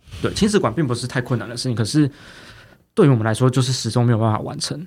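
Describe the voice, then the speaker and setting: A man's somewhat breathy, medium-pitched voice at a very fast pace, with ordinary pitch variation and long, frequent pauses. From Taiwan, Taipei. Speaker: county councillor. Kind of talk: interview.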